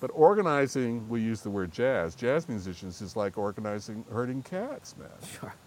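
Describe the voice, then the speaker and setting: In a normal speaking voice, someone talks at a moderate pace with lively intonation and big swings in loudness. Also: man, medium pitch for a man. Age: 60s. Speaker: jazz trumpeter and organizer. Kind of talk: casual chat.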